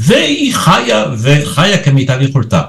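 Somewhat breathy, a man speaks at a very slow pace. His pitch swings very wide. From Israel. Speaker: retired theater critic. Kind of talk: interview.

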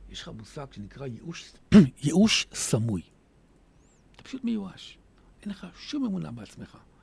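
A man speaks at a moderate pace and fairly high pitch, with very wide pitch swings. His speech has long, frequent pauses. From Israel, Hadera. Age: 50s. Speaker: author. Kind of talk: radio interview.

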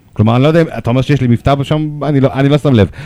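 The sound here is dry and close, without any echo. A man's dark, mellow tone races by at a very fast pace. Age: 40s. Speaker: rapper and lawyer. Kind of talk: radio interview.

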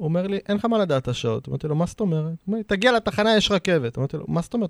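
A man speaks with lively intonation on a very clean recording, its sound dry and close with no echo and a silent background. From Israel, Arad. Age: 30s. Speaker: real estate broker. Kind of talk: interview. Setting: studio.

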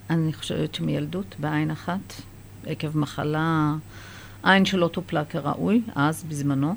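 At a very slow pace, a woman with a very deep, low pitch speaks with ordinary pitch variation. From Israel, Kiryat Yam, Haifa area; Iranian immigrant family. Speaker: children's book author. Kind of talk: interview; reading aloud.

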